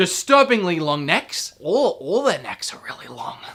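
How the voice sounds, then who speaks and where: Over noticeable background noise, a woman with an Australian accent talks at a fairly slow pace in an animated tone, her pitch swinging very widely. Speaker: gaming youtuber. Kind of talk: video game review commentary. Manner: animated, casual with fillers.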